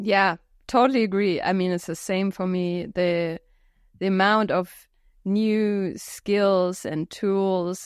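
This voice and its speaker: Over a quiet background, a woman speaks at a medium pitch with fairly even intonation. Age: 30s. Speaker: podcast co-host. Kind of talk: casual chat. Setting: video call.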